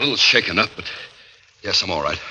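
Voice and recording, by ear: In a put-on character voice, a man talks fast with a low pitch, lively intonation and a bright, sharp tone, with audible room echo around him.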